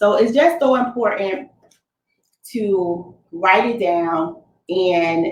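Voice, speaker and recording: A woman is speaking. Her pitch swings very widely. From Fort Lauderdale, Florida, US. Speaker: Navy veteran, business owner and coach. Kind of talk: motivational talk at a virtual summit. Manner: casual, conversational.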